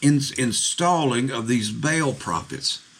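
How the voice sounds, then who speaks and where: Noticeable background noise behind a man's voice, medium in pitch and ordinary in its pitch variation. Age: 60s. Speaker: pastor. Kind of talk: sermon.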